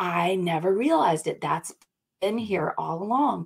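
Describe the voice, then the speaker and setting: This woman has an American accent, a medium pitch, an animated tone and lively intonation. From US South, North Carolina. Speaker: brand coach. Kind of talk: casual interview. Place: home room.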